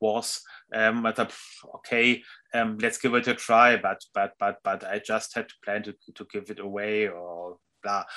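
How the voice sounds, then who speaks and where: A man with a German accent speaks at medium pitch in a bright, sharp tone. His intonation is monotone and flat. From Germany, Hamburg. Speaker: music journalist and author. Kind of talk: interview. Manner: halting.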